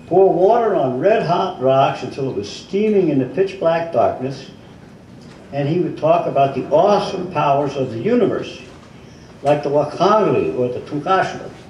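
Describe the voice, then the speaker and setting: Someone talks at a moderate pace with lively intonation over noticeable background noise. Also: man, high pitch for a man. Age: 80s+. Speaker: author. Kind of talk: book reading at a live event. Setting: bookstore event.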